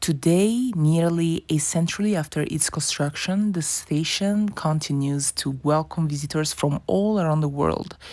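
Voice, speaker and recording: A woman with a non-native accent and a very deep, low pitch, her tone dark and mellow, at a fairly slow pace with hardly any pauses, very even loudness and ordinary pitch variation. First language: not English. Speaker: travel vlogger. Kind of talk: travel documentary narration.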